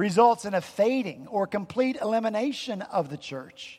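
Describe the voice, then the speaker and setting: High-pitched man with an Appalachian accent, lively intonation and a moderate pace. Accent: Southern US, Appalachian. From Appalachian mountains, US South. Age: 50s. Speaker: pastor. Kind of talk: sermon. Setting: church.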